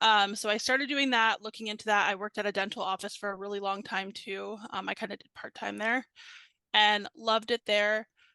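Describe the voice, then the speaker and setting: Against a quiet background, a woman talks at a fairly quick pace with fairly even intonation, her medium-pitched voice bright and sharp in tone, the sound dry and close with no echo. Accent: American. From Virginia, US. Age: 30s. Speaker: customer success team lead. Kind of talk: casual interview.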